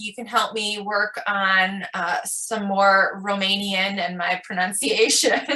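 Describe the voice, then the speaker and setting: A woman with a Michigan accent, a bright, sharp tone and a very slow pace. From Michigan, US. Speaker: podcast host. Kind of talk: casual interview chat.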